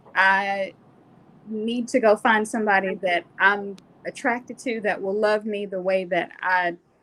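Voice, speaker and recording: A woman with an American accent speaks at a fairly slow pace in an unremarkable speaking voice, medium in pitch with ordinary pitch variation. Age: 40s. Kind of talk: personal testimony.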